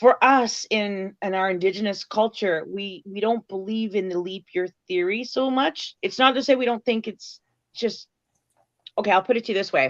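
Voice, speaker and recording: Recorded dry and close with no echo, a woman talks in an ordinary speaking voice at a medium pitch, a moderate pace and ordinary pitch variation. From Canada. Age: 40s. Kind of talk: casual interview chat.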